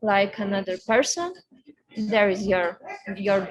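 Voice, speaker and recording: With a Lithuanian accent, a woman speaks at a medium pitch with fairly even intonation. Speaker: racing driver. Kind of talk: interview. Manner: halting.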